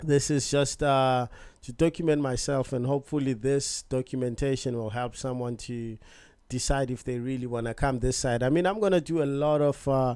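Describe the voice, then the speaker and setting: A man with a South African accent speaks at medium pitch and a moderate pace, in a relaxed, dark, mellow tone. His intonation is fairly even, and the recording is very clean with a silent background. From South Africa, Johannesburg. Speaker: vlogger. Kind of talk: casual vlog introduction. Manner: casual, relaxed.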